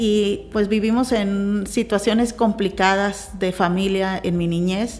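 Speaking very slowly with hardly any pauses, a woman keeps a monotone, flat intonation at a medium pitch. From Mexico, Sinaloa (Navolato), later Tijuana. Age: 40s. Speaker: business leader. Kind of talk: interview testimony.

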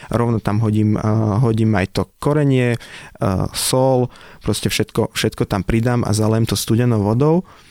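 Dry and close with no echo, a man's dark, mellow voice comes at medium pitch and a moderate pace. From Slovakia, village near Nitra. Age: 30s. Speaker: restaurateur. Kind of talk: casual interview.

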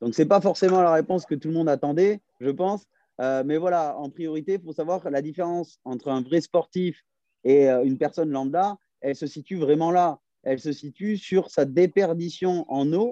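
Over a quiet background, a man with a high pitch and a dark, mellow tone speaks at a moderate pace with ordinary pitch variation, in a dry, close sound with no echo. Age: 30s. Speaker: fitness and nutrition coach. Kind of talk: casual interview. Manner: hesitant, many fillers.

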